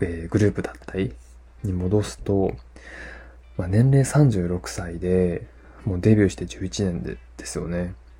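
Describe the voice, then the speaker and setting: A man's very deep, low voice at a moderate pace, relaxed in tone. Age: 30s. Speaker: podcast host. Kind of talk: casual solo podcast talk. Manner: relaxed, many fillers.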